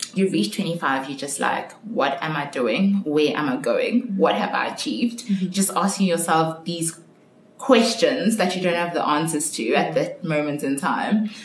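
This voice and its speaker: A woman's fairly low voice with very wide pitch swings at a moderate pace, amid audible room echo and noticeable background noise. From South Africa, Johannesburg. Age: 20s. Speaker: marketing consultant. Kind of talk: casual interview.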